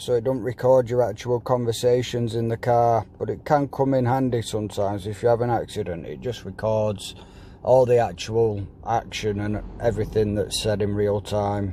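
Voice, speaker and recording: Speaking at a moderate pace, a man with a dark, mellow tone keeps a medium pitch and fairly even intonation. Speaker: company director. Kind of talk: product setup tutorial. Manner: casual.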